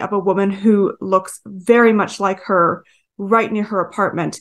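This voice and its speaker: At a fairly slow pace, a woman speaks in a normal speaking voice with fairly even intonation. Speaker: author. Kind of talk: interview chat.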